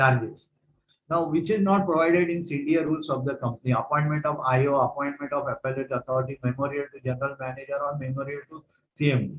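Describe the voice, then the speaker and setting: A man's fairly high, somewhat breathy voice at a very fast pace, with fairly even intonation. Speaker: retired vigilance officer and trainer. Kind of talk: lecture.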